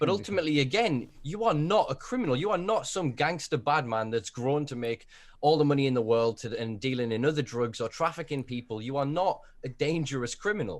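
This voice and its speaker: On a very clean recording with a silent background, a man speaks in a normal speaking voice at a fairly high pitch, with lively intonation and a fairly quick pace. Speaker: podcast host. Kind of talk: casual podcast conversation.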